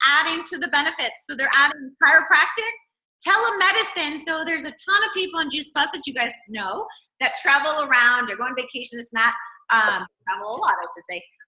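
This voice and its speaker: Her raised, projected voice has a bright, sharp tone, very wide pitch swings and a very fast pace, and she is a woman. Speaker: network marketing team leader. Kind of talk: video call presentation. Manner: animated; loud.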